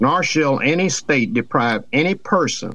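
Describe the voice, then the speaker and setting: A man talks at a fairly slow pace in a Southern US accent, his intonation lively. The recording is very clean, with a silent background. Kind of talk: casual chat. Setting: studio.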